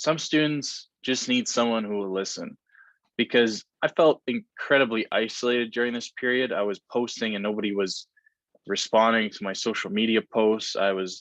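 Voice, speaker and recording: A man with a plain, everyday voice speaks at a moderate pace. His pitch sits in the medium range, with ordinary variation. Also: dry, close sound with no echo. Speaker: mental health speaker. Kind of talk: presentation rehearsal. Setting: at home, practicing for grandparents.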